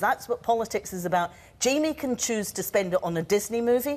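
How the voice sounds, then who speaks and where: With a Scottish accent, a woman speaks fairly quickly at a fairly high pitch, her intonation lively. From Scotland. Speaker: politician. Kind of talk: televised debate. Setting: TV studio with audience. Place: studio. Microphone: lapel.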